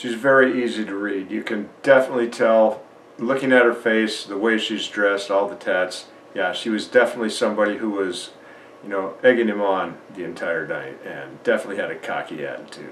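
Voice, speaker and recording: Over noticeable background noise and audible room echo, a man talks fairly quickly at medium pitch with ordinary pitch variation and big swings in loudness. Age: 60s. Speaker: YouTube commentator. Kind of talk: reaction commentary.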